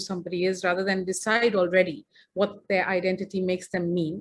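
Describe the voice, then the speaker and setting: A woman speaks at a very fast pace. Her voice is somewhat breathy. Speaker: feminist filmmaker and speaker. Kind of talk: presentation.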